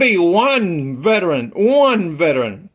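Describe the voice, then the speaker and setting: Speaking very slowly, a man uses a high pitch. His intonation is lively. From Puerto Rico. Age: 80s+. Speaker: army veteran. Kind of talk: political appeal to camera. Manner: halting, repetitive.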